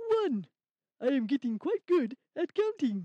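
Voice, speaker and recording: This is a cartoonish character voice, high in pitch. It moves at a fairly slow pace with very wide pitch swings. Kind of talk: children's puppet show. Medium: puppet.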